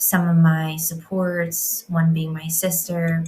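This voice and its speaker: A woman speaks at a fairly slow pace. Her voice is somewhat breathy and fairly low-pitched. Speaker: women's healing coach. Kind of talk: reflective monologue. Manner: stuttering, hesitating.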